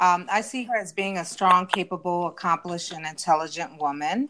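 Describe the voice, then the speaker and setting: Fairly low in pitch, a woman talks at a moderate pace. Hers is an ordinary speaking voice. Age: 50s. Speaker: family member guest. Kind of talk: casual panel discussion.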